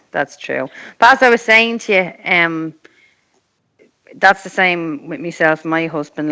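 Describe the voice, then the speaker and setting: An Irish-accented woman at a moderate pace. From Ireland. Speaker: mother sharing experience of abuse. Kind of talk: casual chat.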